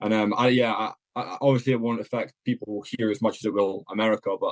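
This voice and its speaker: A man talks very fast at a medium pitch, his intonation monotone and flat. The sound is dry and close, with no echo. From Scotland. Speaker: content creator, podcast guest. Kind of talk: casual chat.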